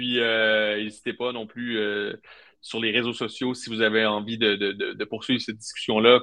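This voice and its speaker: This man has a medium pitch and a fairly slow pace. His intonation is monotone and flat. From Quebec, Trois-Rivières. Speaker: football agency co-founder, former sports journalist. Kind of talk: interview. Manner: hesitant, many fillers and repetitions.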